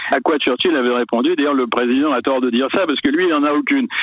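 The man's voice sits fairly high, his intonation lively, with noticeable background noise behind him. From France. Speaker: historian. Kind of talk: interview. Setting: phone call.

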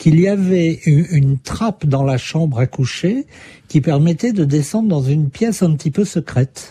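A man with a fairly high pitch and lively intonation comes through with a dry, close sound with no echo, over noticeable background noise. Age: 60s. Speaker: journalist and author. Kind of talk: interview. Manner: hesitant, with fillers.

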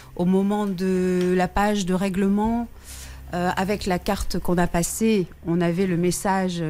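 Her tone is dark and mellow. The woman talks very slowly. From northern France. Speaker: caller. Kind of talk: phone-in testimony.

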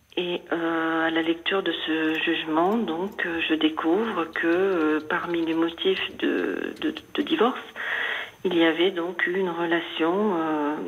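Noticeable background noise runs under a woman's fairly low voice. She speaks very slowly, with fairly even intonation. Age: 50s. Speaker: caller. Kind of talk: personal testimony. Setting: phone call.

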